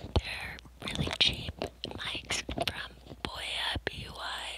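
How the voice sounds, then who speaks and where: A woman speaks at a very slow pace, the sound dry with no echo, against loud background noise. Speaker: ASMR creator. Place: home room. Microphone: lapel.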